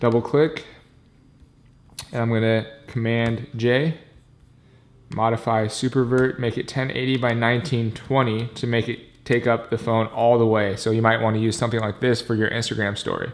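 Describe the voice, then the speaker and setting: A man talks at a moderate pace in a flat monotone, leaving long, frequent pauses. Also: medium pitch for a man. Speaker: video production tutorial creator. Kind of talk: tutorial. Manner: casual, with fillers.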